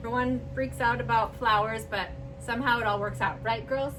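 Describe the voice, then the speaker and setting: A woman speaks at a fairly quick pace. Noticeable background noise and audible room echo accompany her. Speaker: flower arranging channel host. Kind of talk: tutorial. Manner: loud; casual. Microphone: far from the camera.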